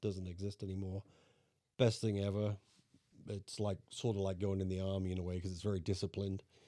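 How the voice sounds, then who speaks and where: A man with an English accent, fairly low in pitch and dark, mellow in tone, at a fairly quick pace with flat, monotone intonation and long, frequent pauses, on a very clean recording with a silent background. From England. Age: 60s. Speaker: grandfather, engineer. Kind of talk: casual chat. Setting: home recording.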